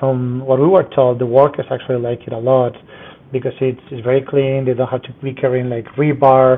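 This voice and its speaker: The speaker has a Spanish accent and talks at a fairly quick pace in a flat monotone. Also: man, medium pitch for a man. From Spain, Madrid. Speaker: structural engineer. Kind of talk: interview.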